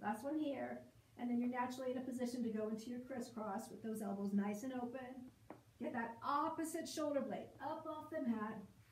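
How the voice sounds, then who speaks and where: The speaker talks at a fairly quick pace with ordinary pitch variation, and the room echo is audible. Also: woman, high pitch for a woman. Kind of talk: exercise class instruction. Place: home room. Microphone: camera far.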